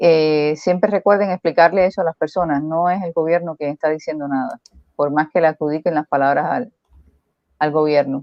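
In a very deep, low voice, a woman speaks with fairly even intonation. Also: moderate pace. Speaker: co-host commentator. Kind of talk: casual chat. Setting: live stream.

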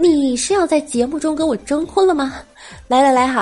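Noticeable background noise sits under a woman speaking at a moderate pace, her high voice full of lively intonation. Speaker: podcast host. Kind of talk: comedic monologue. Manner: playful.

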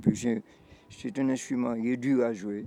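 A medium-pitched male voice, dark and mellow in tone. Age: 80s+. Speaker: retired musician, percussionist. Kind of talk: interview testimony. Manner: halting, repetitive.

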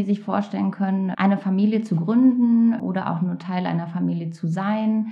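Speaking at a fairly quick pace with hardly any pauses, a woman is heard over noticeable background noise. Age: 30s. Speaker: counsellor. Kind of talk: interview.

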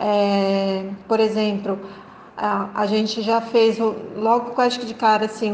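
A woman's fairly high voice is heard with audible room echo. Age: 50s. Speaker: forestry engineer, port inspection business owner. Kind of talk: interview.

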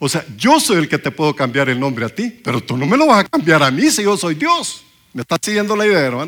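This man's high-pitched voice has a bright, sharp tone and moves at a moderate pace. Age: 60s. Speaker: preacher. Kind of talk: sermon.

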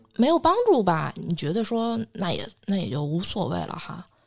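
A woman with vocal fry at a moderate pace. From China. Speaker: astrologer. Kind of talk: casual podcast chat, storytelling.

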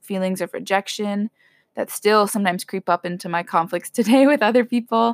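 Recorded very cleanly against a silent background, this woman has an unremarkable speaking voice at a medium pitch with ordinary pitch variation, and the sound is dry and close with no echo. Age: 20s. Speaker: college student and host's older sister. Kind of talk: casual chat, personal testimony.

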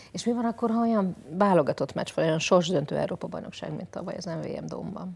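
A woman's fairly quick speech with hardly any pauses and big swings in loudness. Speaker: podcast host. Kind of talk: casual chat.

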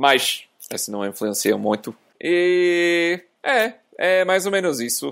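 Lively intonation in an English accent, on a very clean recording with a silent background. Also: man. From US, small town. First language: English (speaking Portuguese). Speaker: software engineer. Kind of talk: casual chat. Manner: halting.

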